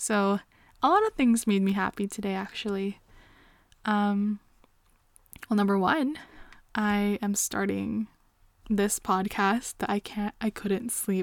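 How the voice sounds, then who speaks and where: A woman with a Canadian accent at medium pitch, fairly slow pace and fairly even intonation, with long, frequent pauses and a dry, close sound with no echo. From Canada. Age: 20s. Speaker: podcast host. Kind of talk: casual chat. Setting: late at night. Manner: frequent laughter.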